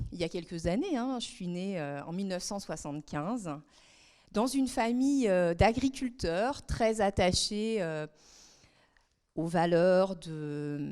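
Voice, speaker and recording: In a very clean recording with a silent background, a woman with a dark, mellow tone speaks very slowly at a medium pitch, her intonation lively and her pauses long and frequent. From France, southern Brittany (Guérande). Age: 40s. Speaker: member of parliament. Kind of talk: talk to students. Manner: hesitant, many fillers.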